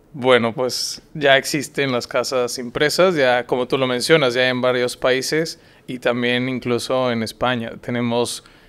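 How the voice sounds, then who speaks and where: A man talks at a fairly slow pace with hardly any pauses. His intonation stays fairly even. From northern Mexico, Saltillo; northern Mexico. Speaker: startup founder; guest. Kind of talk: interview. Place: studio. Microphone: studio mic.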